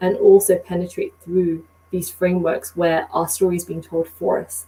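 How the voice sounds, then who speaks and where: A woman with a British accent, medium in pitch, at a moderate pace. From Britain. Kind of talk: podcast conversation.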